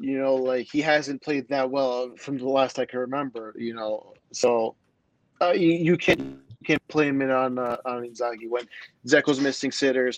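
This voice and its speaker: At a moderate pace, a man talks in an ordinary speaking voice, medium in pitch, with fairly even intonation. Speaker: guest soccer fan. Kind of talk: casual chat.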